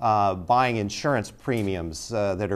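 At a moderate pace, a man speaks with fairly low pitch and ordinary pitch variation. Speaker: talk show host. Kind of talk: interview question. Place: studio.

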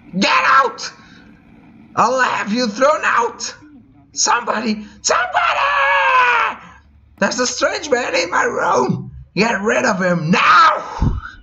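Shouting in a put-on character voice, the speaker holds a fairly high pitch. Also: fairly slow pace. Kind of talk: reading game dialogue aloud in a character voice. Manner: panicked, screaming, demanding.

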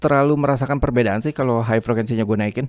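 The man's voice sits at medium pitch, with a dry, close sound and no echo. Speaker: YouTuber reviewing microphones as a hobbyist. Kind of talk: tutorial. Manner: casual.

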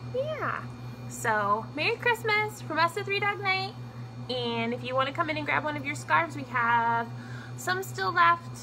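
Noticeable background noise runs beneath a woman's fairly slow speech. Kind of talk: casual product demo. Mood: cheerful, friendly. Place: shop. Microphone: phone near.

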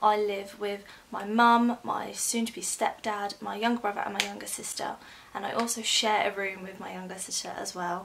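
A woman at a moderate pace, her intonation monotone and flat. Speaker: new vlogger. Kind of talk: casual vlog chat. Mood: slightly nervous, chatty. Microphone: phone near.

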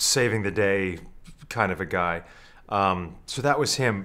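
With lively intonation, a man speaks at a moderate pace. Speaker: actor being interviewed. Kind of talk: interview answer. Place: studio.

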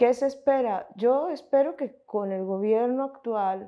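The woman speaks at a very slow pace. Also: quiet background. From Colombia, Montes de María (Caribbean region); Colombia. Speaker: researcher and film commentator; interviewee. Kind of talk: interview. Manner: halting, with fillers and self-corrections. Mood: calm, thoughtful.

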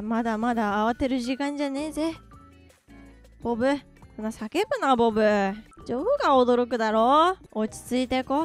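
Using a gruff, put-on character voice, a woman speaks at a high pitch and a moderate pace with ordinary pitch variation. She leaves long, frequent pauses while faint music plays in the background. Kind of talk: comic overacting. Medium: virtual streamer. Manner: swaggering, teasing, mock-gruff.

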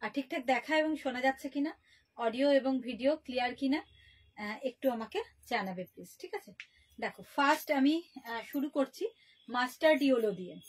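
Her loudness swings widely as this woman talks in a high pitch. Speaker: shop seller hosting a live sale. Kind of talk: live sales presentation. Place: shop. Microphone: phone near.

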